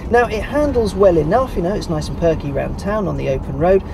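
A man talks at a fairly quick pace. The sound is dry with no echo, but there is noticeable background noise. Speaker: car reviewer. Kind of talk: car review presenting. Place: car.

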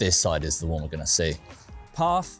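A man at a very fast pace, dry sound with no echo, and faint music in the background. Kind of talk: tutorial walkthrough. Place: garden.

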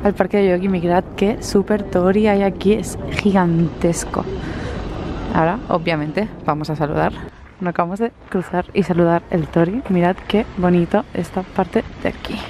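Against noticeable background noise, a woman speaks at a moderate pace with fairly even intonation, the sound dry with no echo. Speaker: travel vlogger. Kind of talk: casual vlog chat. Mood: cheerful, laughing. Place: street. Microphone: phone near.

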